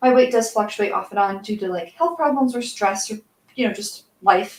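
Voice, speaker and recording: A woman talks in a soft-spoken way. Her pitch is fairly high. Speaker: crafting streamer, cosplay maker. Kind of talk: casual livestream chat while painting. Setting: livestream.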